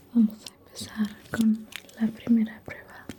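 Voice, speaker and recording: Soft-spoken whispering at a very slow pace, with noticeable background noise. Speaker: ASMR creator. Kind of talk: ASMR roleplay, personal attention. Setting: close to microphone. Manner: whispered, soft.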